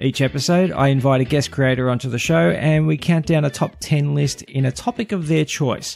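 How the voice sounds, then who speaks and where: An unremarkable speaking voice with lively intonation, very even loudness, hardly any pauses and a fairly quick pace. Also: man, fairly high pitch for a man. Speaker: podcast host. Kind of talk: podcast interview, casual conversation.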